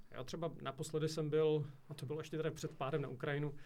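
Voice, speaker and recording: A man is speaking. The pace is fairly quick. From Moravia, Czechia (Rožnov pod Radhoštěm). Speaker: nuclear communications manager and lecturer. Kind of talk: interview. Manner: halting, repeats words.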